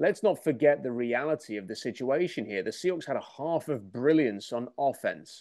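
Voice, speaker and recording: With an English accent, a man speaks in a dark, mellow tone at a fairly high pitch. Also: quiet background. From England. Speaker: sports commentator. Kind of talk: opinion monologue.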